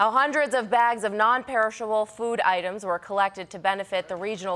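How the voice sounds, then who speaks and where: In an American accent, a woman speaks fairly quickly at a fairly high pitch. She has an ordinary speaking voice with ordinary pitch variation. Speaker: news anchor (audition). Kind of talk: TV news anchor read.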